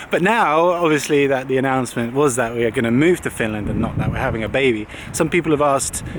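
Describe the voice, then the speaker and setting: A man speaks at a very fast pace in a fairly high pitch, with noticeable background noise. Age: 20s. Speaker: vlogger. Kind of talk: casual vlog chat.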